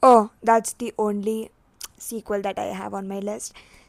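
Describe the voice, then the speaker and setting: A woman speaks at a fairly high pitch with a non-native accent. The recording is very clean with a silent background, and the sound is dry and close with no echo. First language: not English. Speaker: booktuber. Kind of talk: casual vlog chat.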